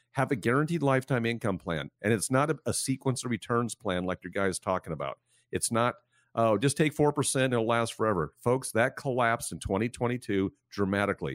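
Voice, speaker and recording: In a plain, everyday voice of medium pitch, a man talks at a fairly quick pace with lively intonation. The very clean recording has a silent background and a dry, close sound with no echo. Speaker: financial advisor. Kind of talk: radio show discussion. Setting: radio studio.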